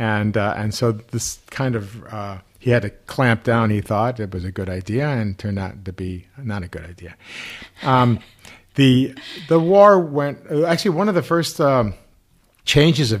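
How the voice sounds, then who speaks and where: Using a plain, everyday voice, a man speaks at a medium pitch with lively intonation. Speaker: rabbi. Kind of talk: casual chat.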